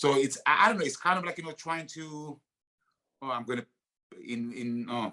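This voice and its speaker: Long, frequent pauses from a man with a fairly high pitch and a bright, sharp tone. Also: ordinary pitch variation, moderate pace. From Greece. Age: 50s. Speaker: actor. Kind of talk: podcast interview. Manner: halting, many fillers.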